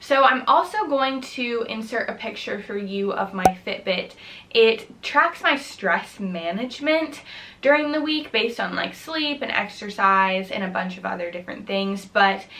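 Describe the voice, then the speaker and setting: A woman with an American accent speaks in an upbeat tone at a fairly high pitch, with lively intonation, a moderate pace and noticeable background noise. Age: 20s. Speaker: college student. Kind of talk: casual talk to camera. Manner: upbeat, friendly.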